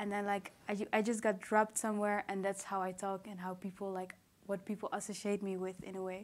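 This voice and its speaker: At a fairly quick pace, a woman speaks in a medium pitch with a monotone, flat intonation. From Netherlands, Rwandan parents. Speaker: poet, performer. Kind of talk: public conversation on stage. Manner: halting.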